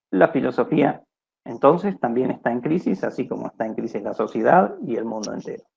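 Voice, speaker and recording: Talking at a fairly quick pace, a man with a medium pitch and vocal fry uses lively intonation and big swings in loudness. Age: 60s. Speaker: philosophy researcher, lecturer. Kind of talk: lecture. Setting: video call. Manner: halting.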